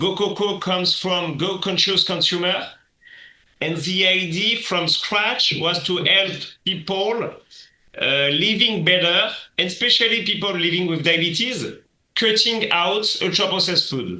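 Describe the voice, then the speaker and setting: In a French accent, a man with a high voice projects loudly at a fairly slow pace, with ordinary pitch variation and audible room echo. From France. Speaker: app founder. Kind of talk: podcast interview. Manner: hesitant, with fillers.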